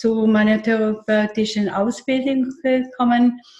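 The woman's fairly high voice stays monotone, with flat intonation. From eastern Switzerland, near Lake Constance. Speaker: therapist. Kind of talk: casual interview.

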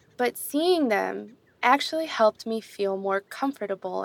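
A woman with an American accent talks at a fairly slow pace over music in the background. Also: dry, close sound with no echo. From US, New York City. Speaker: former park ranger intern. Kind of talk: storytelling narration. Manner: slow, simple.

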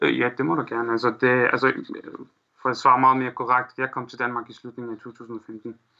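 A man talks at a moderate pace and medium pitch. His tone is bright and sharp, with monotone, flat intonation. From Syria, Aleppo. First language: Arabic (speaking Danish). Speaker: Syrian refugee, student. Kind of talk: interview. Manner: halting, many fillers.

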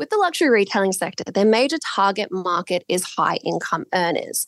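A woman with an Australian accent at a moderate pace, in a dry, close sound with no echo over a quiet background. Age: 20s. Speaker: market research analyst. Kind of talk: interview.

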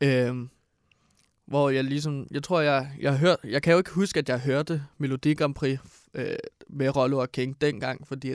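In an ordinary speaking voice, a man talks at a fairly slow pace with fairly high pitch and fairly even intonation, the sound dry and close with no echo on a very clean recording with a silent background. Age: 20s. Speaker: radio co-host. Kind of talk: casual chat.

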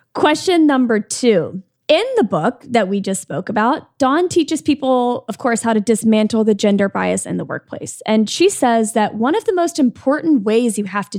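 A woman's fairly high voice is animated and sing-song, with lively intonation. The recording is very clean with a silent background, dry and close with no echo. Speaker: podcast co-host. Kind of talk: casual interview chat. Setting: studio. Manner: animated, sing-songy.

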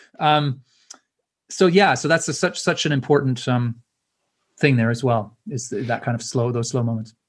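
A man's somewhat breathy voice at a medium pitch and moderate pace, with ordinary pitch variation, long, frequent pauses and a very clean recording with a silent background. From Canada. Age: 50s. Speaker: author and speaker. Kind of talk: interview.

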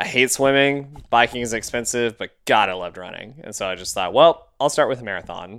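An animated, enthusiastic voice with a Texan accent, captured in a very clean recording against a silent background. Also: man. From Texas. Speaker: podcast co-host and runner. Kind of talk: casual interview.

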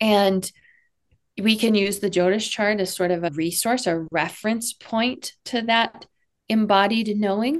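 With an American accent and an unremarkable speaking voice, a woman speaks at a medium pitch and a fairly slow pace, with ordinary pitch variation and very even loudness. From Texas. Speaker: Vedic astrology coach and spiritual mentor. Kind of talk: interview conversation.

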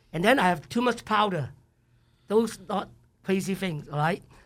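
An animated man with a Cantonese accent talks at a fairly quick pace, his pitch high with ordinary variation. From Hong Kong. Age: 70s. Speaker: chef. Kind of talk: interview. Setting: studio.

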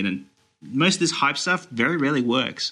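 Talking at a very fast pace with lively intonation, a man with an Australian accent has a bright, sharp tone. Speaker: movie news website editor. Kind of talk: casual chat.

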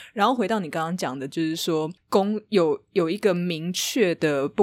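This woman speaks with a Taiwanese accent at a moderate pace. Her pitch is fairly low, with ordinary pitch variation. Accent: Taiwanese Mandarin. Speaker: author. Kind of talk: casual interview.

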